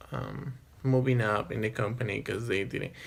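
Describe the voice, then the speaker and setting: His pitch shows ordinary variation. The man keeps to a moderate pace. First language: not English. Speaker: vlogger. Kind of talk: personal storytelling monologue. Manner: hesitant, many fillers.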